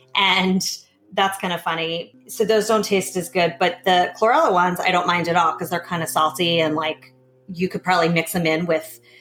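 With music in the background, a woman speaks at a fairly quick pace, with fairly low pitch and fairly even intonation. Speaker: podcast host. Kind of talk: casual chat.

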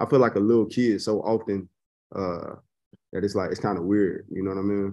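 Against a quiet background, a man with a Chicago accent talks at a very fast pace. His voice is fairly low in pitch, with a dark, mellow tone. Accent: Chicago American English. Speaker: golf social media personality. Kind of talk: casual interview. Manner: laid-back, slangy.

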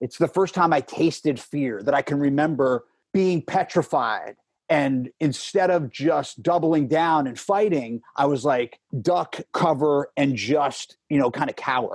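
A man with an ordinary speaking voice talks in a fairly high pitch with ordinary pitch variation. The recording is very clean with a silent background and a dry, close sound with no echo. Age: 40s. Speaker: podcast guest sharing recovery story. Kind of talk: personal testimony in interview.

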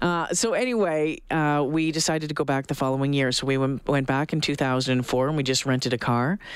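A man speaks with a Canadian accent at a moderate pace. His voice is fairly high, with fairly even intonation. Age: 40s. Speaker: radio host. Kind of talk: radio talk show. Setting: studio. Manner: halting, many fillers.

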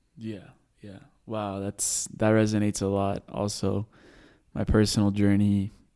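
With an American accent and a dark, mellow tone, the speaker talks at a fairly slow pace in a monotone, flat intonation, with big swings in loudness and long, frequent pauses. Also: man, fairly low pitch for a man. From US (DC, Texas, California) then Colombia from 16. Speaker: podcast host interviewing. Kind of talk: casual interview chat. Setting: video call.

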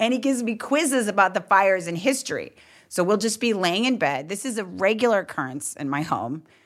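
A woman talks fairly quickly in an animated tone, her pitch swinging very widely. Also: medium pitch for a woman. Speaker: comedian. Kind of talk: casual conversation.

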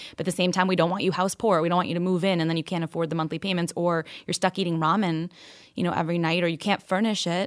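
Speaking very fast with an American accent, a woman keeps a fairly low, monotone voice with flat intonation in a very clean recording with a silent background. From New York and Kentucky. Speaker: financial advisor and founder. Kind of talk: interview.

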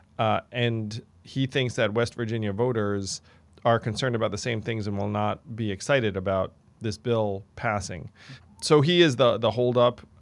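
In a quiet background, a man with a medium pitch and an ordinary speaking voice talks at a moderate pace with ordinary pitch variation. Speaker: podcast host. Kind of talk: casual chat. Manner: casual, filler-heavy.

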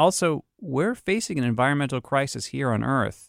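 A man with an American accent at medium pitch and moderate pace, with very wide pitch swings, in a very clean recording with a silent background. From Boston, US. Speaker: podcast host. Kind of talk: scripted narration with interviews.

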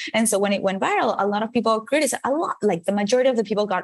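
A woman talks at a very fast pace with ordinary pitch variation in a Venezuelan accent, over noticeable background noise. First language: Spanish. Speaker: motivational speaker. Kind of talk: interview.

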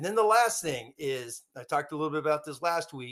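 In a normal speaking voice, a man with a fairly high pitch talks at a moderate pace with lively intonation. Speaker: football analyst. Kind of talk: casual chat. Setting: video call.

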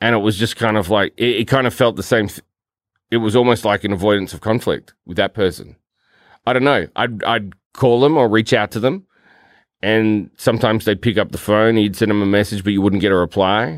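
The speaker is a man with an Australian accent. His pitch sits fairly low. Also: fairly even intonation, very clean recording, silent background. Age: 40s. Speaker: podcast co-host, film and TV worker. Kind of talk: casual chat.

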